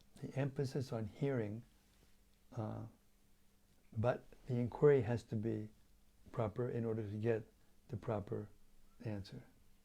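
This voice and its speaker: The voice is somewhat breathy with a dark, mellow tone, moving at a moderate pace with fairly even intonation and long, frequent pauses. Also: man, medium pitch for a man. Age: 70s. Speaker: spiritual teacher. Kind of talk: religious lecture. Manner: halting, with fillers and repetitions.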